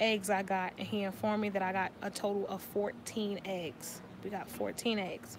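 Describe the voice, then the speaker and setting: Fairly even intonation from a woman at a medium pitch. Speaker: vlogger sharing IVF journey. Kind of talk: casual vlog update. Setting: in a bookstore. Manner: fast.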